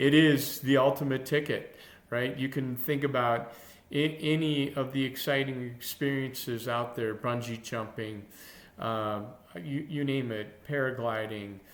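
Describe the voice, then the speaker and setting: Over audible room echo, a man speaks at a fairly slow pace in a medium pitch, his intonation fairly even. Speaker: longevity coach. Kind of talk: casual talk to camera. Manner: halting, many fillers and restarts.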